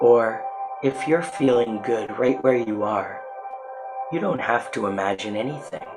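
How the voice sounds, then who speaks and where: Music in the background behind a man at a medium pitch, calm and soothing in tone, with ordinary pitch variation, a fairly slow pace and long, frequent pauses. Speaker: guided relaxation guide. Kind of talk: guided meditation / relaxation narration. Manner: slow, calm, soothing.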